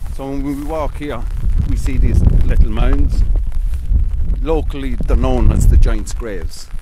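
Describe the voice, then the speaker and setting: Over loud background noise, a man talks with long, frequent pauses in a dry sound with no echo. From Ireland. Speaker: local historian. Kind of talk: oral history interview answer. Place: open country. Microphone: handheld.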